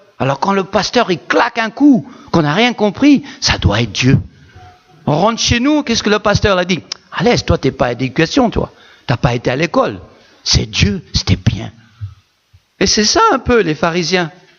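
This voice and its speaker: With music playing behind it, the voice swings very widely in pitch at a moderate pace. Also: man, high pitch for a man. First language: not French (speaking French). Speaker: pastor. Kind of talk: sermon. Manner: animated.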